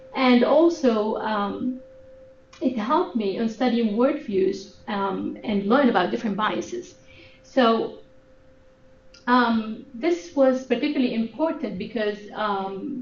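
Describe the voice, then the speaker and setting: In an Arabic accent, a woman speaks very slowly at a fairly high pitch with lively intonation, and room echo can be heard. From Sudan, Khartoum. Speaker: graduate student researcher. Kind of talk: research presentation. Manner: halting, many fillers.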